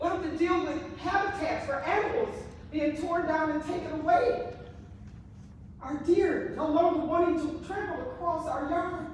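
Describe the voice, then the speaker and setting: In an American accent, a woman speaks at an extremely high pitch. Her pace is moderate, with audible room echo. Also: ordinary pitch variation. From US Midwest, Milwaukee, Wisconsin. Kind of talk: public comment at county meeting. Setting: county commission meeting room. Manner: loud; emotional, impassioned. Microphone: speaking without a microphone.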